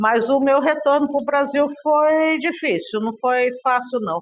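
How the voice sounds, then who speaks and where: A woman talks at a very slow pace. Her voice is high in pitch. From Brazil, raised largely in Russia. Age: 60s. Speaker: interviewee, daughter of a political figure. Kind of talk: interview testimony. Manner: conversational, hesitant fillers.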